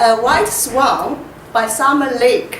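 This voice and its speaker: With a strong Chinese accent, a woman talks very slowly at a high pitch, amid audible room echo and noticeable background noise. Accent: heavy Chinese. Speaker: poet. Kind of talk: poetry reading. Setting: library reading event with audience. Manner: halting, repeats words.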